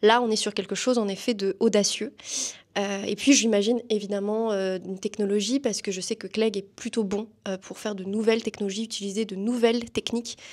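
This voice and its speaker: Speaking at a fairly quick pace, a woman keeps a monotone, flat intonation in a fairly high pitch while her loudness swings widely. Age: 20s. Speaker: student and performer. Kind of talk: interview. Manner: hesitant, many fillers.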